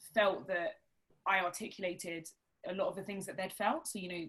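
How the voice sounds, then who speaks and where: At a fairly quick pace, a woman with an Essex accent speaks at medium pitch with ordinary variation. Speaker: barrister and author. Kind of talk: interview at a live talk event.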